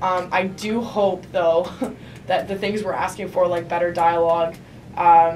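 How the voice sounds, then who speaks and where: A woman speaks at a medium pitch with a monotone, flat intonation. Her pace is fairly slow, and there is audible room echo. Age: 20s. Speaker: student activist. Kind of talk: panel talk. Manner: hesitant, many fillers.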